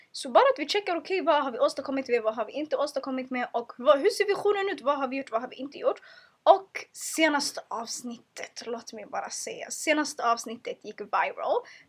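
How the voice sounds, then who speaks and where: Animated and high-pitched, a woman talks at a fairly quick pace with lively intonation and big swings in loudness. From Sweden, Stockholm suburbs. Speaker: podcast host. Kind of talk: casual monologue. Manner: stumbles over words.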